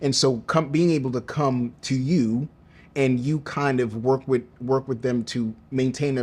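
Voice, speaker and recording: With an animated tone, a man speaks at a medium pitch. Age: 40s. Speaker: podcast host. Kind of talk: interview conversation.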